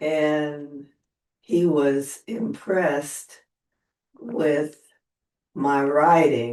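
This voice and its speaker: Long, frequent pauses interrupt the talking. Overall the pace is very slow. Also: woman, very deep, low pitch for a woman, ordinary pitch variation. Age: 80s+. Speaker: widow sharing her story. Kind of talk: interview testimony. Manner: halting.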